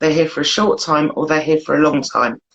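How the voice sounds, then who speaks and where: A woman with a British accent, very deep and low in pitch, at a fairly quick pace. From UK. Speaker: blogger. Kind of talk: casual chat.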